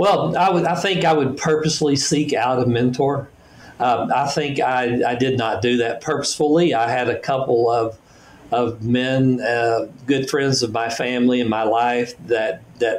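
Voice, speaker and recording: A man with a plain, everyday voice speaks at a medium pitch and a fairly slow pace, with ordinary pitch variation and very even loudness. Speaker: business executive and author. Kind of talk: podcast interview.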